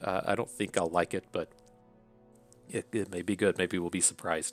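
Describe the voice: Speaking with an Appalachian accent, a man with a low pitch talks at a fairly quick pace with fairly even intonation. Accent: Appalachian American.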